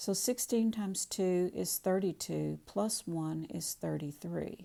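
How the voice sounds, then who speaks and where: Recorded very cleanly with a silent background, a woman speaks at a fairly slow pace. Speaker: math teacher. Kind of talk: tutorial.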